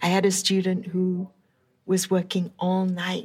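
A woman's somewhat breathy, medium-pitched voice at a very slow pace. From England, London area. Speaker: professor. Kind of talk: interview. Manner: casual, with fillers.

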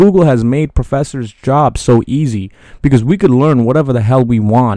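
A man with an American accent speaks at a medium pitch and a fairly quick pace. His tone is dark and mellow, with ordinary pitch variation. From New York City. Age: 20s. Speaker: solo podcaster. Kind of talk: casual monologue. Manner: hesitant, many fillers.

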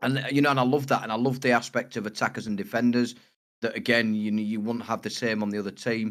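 A man with a northern English accent, very fast and monotone with flat intonation. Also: medium pitch for a man. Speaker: podcast co-host. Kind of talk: casual chat.

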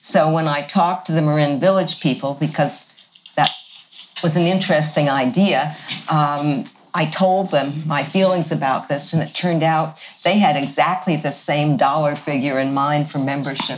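Over music in the background, a woman with a very deep, low pitch speaks at a moderate pace with ordinary pitch variation. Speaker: village co-founder. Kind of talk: casual interview.

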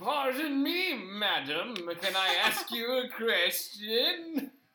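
This put-on character voice sits at a fairly high pitch and swings very widely up and down. It moves at a very slow pace. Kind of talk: polite, courteous.

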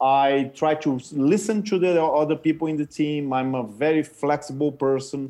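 A man with a Portuguese accent speaks at a moderate pace with hardly any pauses. His fairly high pitch carries a dark, mellow tone and ordinary pitch variation. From Brazil. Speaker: consultant and former tech entrepreneur. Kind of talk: interview. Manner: halting.

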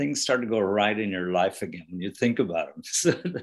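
A man speaks with an Irish accent. His pitch is fairly low. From Ireland. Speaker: author and rock musician. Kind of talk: interview.

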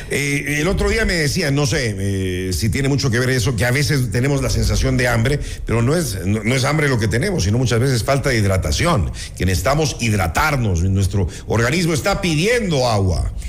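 Speech at a fairly quick pace with hardly any pauses swings very widely in pitch, with audible room echo and noticeable background noise. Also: man, medium pitch for a man, very even loudness. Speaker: radio host. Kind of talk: radio interview. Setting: radio studio.

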